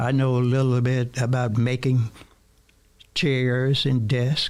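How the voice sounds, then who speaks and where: Monotone, flat intonation from a man at medium pitch. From US South, Mississippi Delta. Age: 70s. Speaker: radio co-host. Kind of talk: talk radio discussion. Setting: studio.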